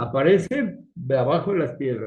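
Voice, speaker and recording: A somewhat breathy voice speaking at a fairly slow pace. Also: man. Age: 60s. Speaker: geopolitics panelist. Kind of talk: casual panel discussion. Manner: animated.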